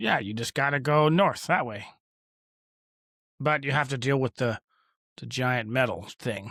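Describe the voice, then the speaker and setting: Using a raspy, put-on character voice at a medium pitch, a man speaks at a moderate pace. He leaves long, frequent pauses in a very clean recording with a silent background. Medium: actual play. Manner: stammering, bashful.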